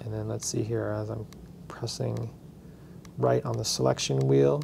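Moderate-paced speech from a man, noticeable background noise behind him. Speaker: instructor. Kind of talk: tutorial. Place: classroom.

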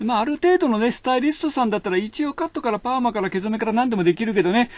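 High-pitched male speech, its pitch swinging very widely. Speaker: hairdresser. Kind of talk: casual monologue, comedic hair-salon talk. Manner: chatty, casual, colloquial.

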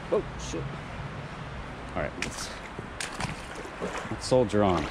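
A man with a fairly low voice talks at a moderate pace over noticeable background noise, the sound dry with no echo. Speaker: outdoor explorer vlogger. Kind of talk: casual vlog chat. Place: waterside. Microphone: phone near.

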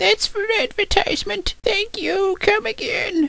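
A woman's extremely high pitch at a fairly slow pace. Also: lively intonation. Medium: fan dub. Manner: curt, dismissive.

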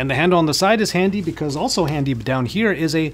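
A man at a very fast pace, with faint music in the background. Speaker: tech reviewer. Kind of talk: product review commentary. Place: home room. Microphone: studio mic.

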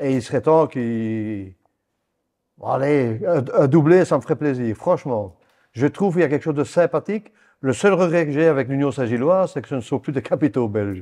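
Against a quiet background, a man with a fairly high pitch and a dark, mellow tone speaks at a moderate pace with lively intonation. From Belgian Ardenne, Wallonia; Wallonia, Belgium. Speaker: retired football referee; guest. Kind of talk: casual interview. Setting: at his home. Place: home room. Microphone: lapel.

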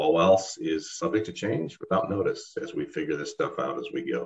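Somewhat breathy, a man speaks at a moderate pace with a fairly low pitch and very wide pitch swings. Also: quiet background. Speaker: meeting co-host. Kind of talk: meeting announcements. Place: home room. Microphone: video call.

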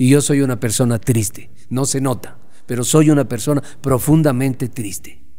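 Dark and mellow in tone, a man speaks at a moderate pace with fairly even intonation. The background is quiet. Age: 50s. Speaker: sports journalist. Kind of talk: interview. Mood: reflective, candid. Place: home room. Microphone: studio mic.

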